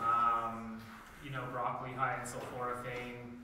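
A man talks at a moderate pace. Strong room echo and noticeable background noise surround his voice. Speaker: microgreens farmer. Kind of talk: workshop presentation. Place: classroom. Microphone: camera far.

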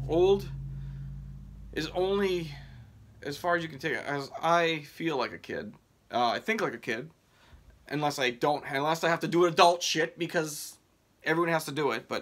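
Against a quiet background, a man speaks at a moderate pace in a fairly high voice with ordinary pitch variation and long, frequent pauses. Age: 30s. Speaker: mail carrier and sports card collector YouTuber. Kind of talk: casual vlog, showing sports cards. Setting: home video recording. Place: home room. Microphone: phone near.

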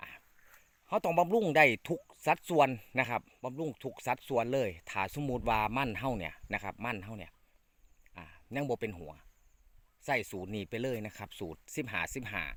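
With lively intonation, a man speaks at a medium pitch in a plain, everyday voice. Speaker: farming channel host. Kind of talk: farming tutorial.

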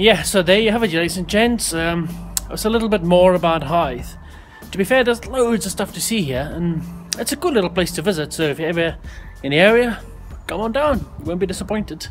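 Faint music plays as a man talks fairly quickly in a South African accent. His pitch is high and his intonation lively. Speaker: vlogger. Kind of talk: casual vlog talk to camera. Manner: upbeat. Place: waterside. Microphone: phone near.

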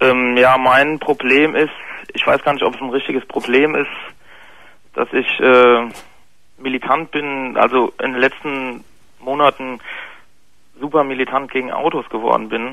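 A man speaks at a fairly slow pace in a flat monotone, with long, frequent pauses, a dry sound with no echo, and a quiet background. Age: 20s. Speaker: caller, bicycle courier. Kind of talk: confessional story by phone. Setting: phone call. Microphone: phone line.

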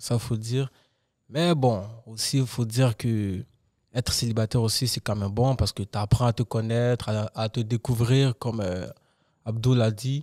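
A dark, mellow tone at a moderate pace, with fairly even intonation, long, frequent pauses, and a quiet background. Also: man, medium pitch for a man. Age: 20s. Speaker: podcast co-host. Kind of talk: casual chat. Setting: studio. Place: studio. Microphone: studio mic.

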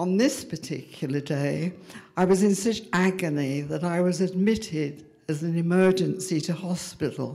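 A woman with an English accent speaks at a moderate pace in a dark, mellow tone with fairly low pitch. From England, London. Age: 80s+. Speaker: storyteller. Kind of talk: storytelling. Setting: stage with audience. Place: stage. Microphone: handheld.

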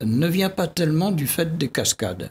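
A somewhat breathy man at a moderate pace, with light background noise. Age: 80s+. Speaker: geographer and scientist; guest. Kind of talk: TV debate interview. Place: studio. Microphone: studio mic.

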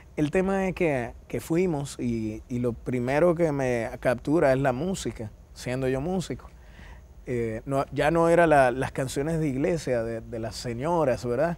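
This man's delivery is fairly slow, and his pitch moves in an ordinary way. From Dominican Republic. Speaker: interview guest. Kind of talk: TV interview. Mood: warm, smiling storytelling. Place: studio. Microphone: lapel.

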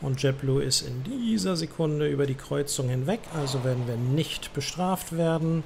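Moderate pace and ordinary pitch variation over noticeable background noise. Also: man, fairly high pitch for a man. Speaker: gaming streamer playing air traffic controller. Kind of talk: let's-play commentary mixed with ATC radio phraseology. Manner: chatty German asides with frequent äh fillers.

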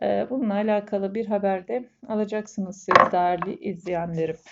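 Her pace fairly slow, a woman talks at a medium pitch. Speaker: fortune teller. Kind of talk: coffee cup fortune reading to camera. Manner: hesitant filler-heavy.

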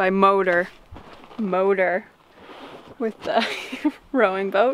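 Against light background noise, a woman speaks with fairly even intonation in a dry sound with no echo. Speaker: sailing vlogger. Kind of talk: casual vlog chat. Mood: cheerful, relaxed. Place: boat. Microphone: phone near.

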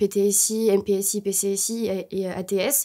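In a quiet background, a woman speaks at a medium pitch with a dark, mellow tone and a monotone, flat intonation. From Bordeaux, southwest France; France. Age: 20s. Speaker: engineering student. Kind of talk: promotional interview. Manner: hesitant, many fillers. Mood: calm, slightly nervous. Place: studio.

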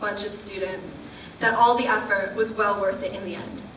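With light background noise and audible room echo, a woman talks at a moderate pace. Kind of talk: ceremonial speech. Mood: warm, lightly humorous. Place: hall. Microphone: podium.

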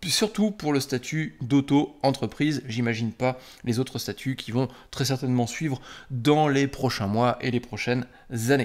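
With ordinary pitch variation, a man talks at a fairly slow pace against a quiet background. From France. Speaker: software developer and YouTuber; YouTuber. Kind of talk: casual direct-to-camera talk. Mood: indignant, ironic. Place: home room.

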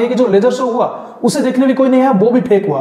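Faint background noise sits behind a man whose slightly mellow tone shows ordinary pitch variation.

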